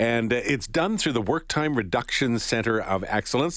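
Here is an ordinary speaking voice: a man at medium pitch with a Canadian accent and lively intonation. He talks at a fairly quick pace on a very clean recording with a silent background. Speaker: morning radio host. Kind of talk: radio interview. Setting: studio. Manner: casual, uses fillers.

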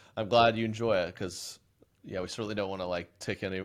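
A man speaks with an Oklahoma accent at a fairly low pitch. His intonation stays fairly even. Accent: Oklahoma, US Southern Plains. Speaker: comedian. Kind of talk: casual chat.

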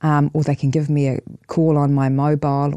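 In a monotone, flat intonation, a woman speaks with a very deep, low voice, the sound dry and close with no echo. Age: 50s. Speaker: divorce coach and mediator. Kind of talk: casual interview. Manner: halting.

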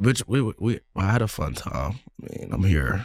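A man in an American accent, with vocal fry and very wide pitch swings. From East Texas. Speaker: college football player. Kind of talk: casual chat.

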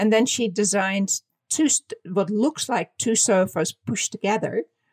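In a dry, close recording with no echo, a woman with a Dutch accent talks at a moderate pace in a fairly high pitch with ordinary pitch variation. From Netherlands. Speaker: fashion designer and author. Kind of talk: interview.

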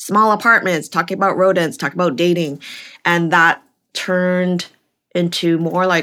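Heard in a very clean recording with a silent background, a woman speaks at a moderate pace with a fairly low pitch and a bright, sharp tone. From Vancouver, western Canada. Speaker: stand-up comedian. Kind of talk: casual chat.

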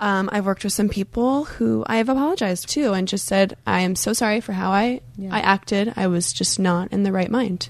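A woman's medium-pitched voice with ordinary pitch variation and very even loudness, fairly quick with hardly any pauses, over noticeable background noise. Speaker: podcast host, dancer and choreographer. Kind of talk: casual chat.

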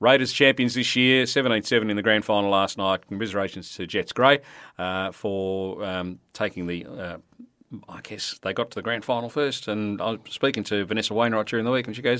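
Speaking at a fairly quick pace with an Australian accent, a man uses a fairly low, bright, sharp voice with ordinary pitch variation. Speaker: local radio sports host. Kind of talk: radio sports interview. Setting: radio studio.

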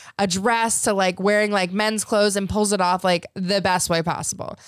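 A woman with a plain, everyday voice at a medium pitch and a moderate pace. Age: 20s. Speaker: reality TV cast member and adult content creator. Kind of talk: casual chat.

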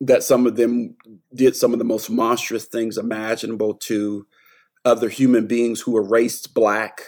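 A man speaks in an American accent at a medium pitch. His intonation is monotone and flat, and his pace is moderate. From small-town North Carolina. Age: 40s. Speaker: professor. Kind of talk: interview.

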